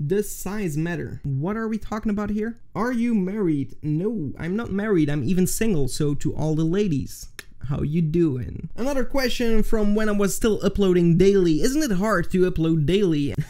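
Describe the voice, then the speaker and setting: In a Flemish accent, a man with a high pitch and a dark, mellow tone talks at a moderate pace with lively intonation and hardly any pauses. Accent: Flemish Dutch accent in English. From Flanders, Belgium. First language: Dutch. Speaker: video editing tutorial YouTuber. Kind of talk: casual Q&A to camera.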